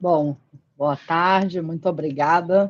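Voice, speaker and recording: A woman with a Rio de Janeiro accent and fairly even intonation, against a quiet background. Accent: carioca. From Rio de Janeiro, Brazil. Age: 40s. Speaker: physician and former pharma executive. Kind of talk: interview. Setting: live stream.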